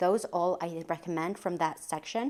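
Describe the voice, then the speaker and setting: A woman speaks with a normal speaking voice in a fairly low pitch. Her intonation is fairly even, and the recording is very clean with a silent background. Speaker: lifestyle vlogger. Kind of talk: casual book recommendation vlog.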